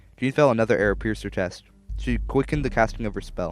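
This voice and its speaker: Music plays behind the speech. A man talks very fast over it. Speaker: podcast host and storyteller. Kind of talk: read story. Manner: mumbling.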